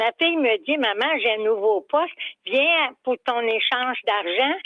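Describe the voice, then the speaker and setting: A woman with a Quebec accent speaks at a high pitch and a fairly slow pace. Her intonation is lively, and her loudness stays very even. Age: 80s+. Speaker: caller. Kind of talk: storytelling on call-in radio.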